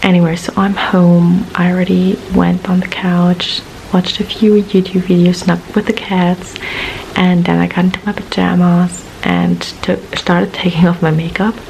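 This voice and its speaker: Quiet and flat, a woman speaks in a monotone at a fairly low pitch and a moderate pace, with noticeable background noise. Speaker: vlogger. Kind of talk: casual vlog monologue. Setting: at home at night.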